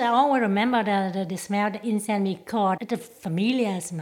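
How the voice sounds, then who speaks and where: With a Vietnamese accent, a woman speaks at medium pitch with ordinary pitch variation. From Vietnam, Chinese background. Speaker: school worker. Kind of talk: interview.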